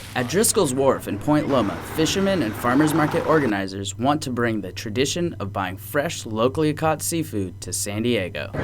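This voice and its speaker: A man talks with hardly any pauses. There is noticeable background noise. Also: medium pitch for a man, moderate pace. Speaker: news anchor and TV reporter. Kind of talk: TV news anchoring and field reporting.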